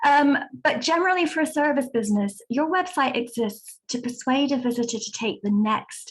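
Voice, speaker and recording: A woman speaks in a British accent at a moderate pace. Her pitch swings very widely. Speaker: website design consultant. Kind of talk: webinar presentation.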